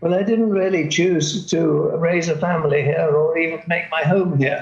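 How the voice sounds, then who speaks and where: With a British accent, a high-pitched man speaks at a moderate pace with fairly even intonation and very even loudness, amid noticeable background noise and audible room echo. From Britain. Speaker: longtime expatriate. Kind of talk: panel discussion. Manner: halting.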